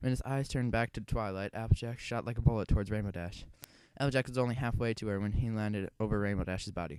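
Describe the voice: The clip is plain reading aloud.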